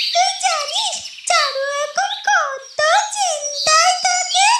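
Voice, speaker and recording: A squeaky, cartoonish character voice with an extremely high pitch speaks at a very slow pace. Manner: lively, affectionate, teasing.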